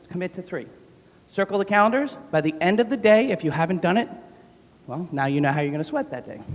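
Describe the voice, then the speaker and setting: A man with an American accent speaks high with very wide pitch swings at a fairly quick pace. Noticeable background noise can be heard. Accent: New York accent, comes out when talking fast. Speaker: gym owner and fitness trainer. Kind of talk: motivational talk. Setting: stage with audience. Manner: fast; animated.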